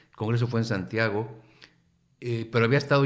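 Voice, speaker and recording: This is a man with a Mexican accent. His pitch is medium for a man. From Mexico. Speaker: professor. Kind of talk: radio interview.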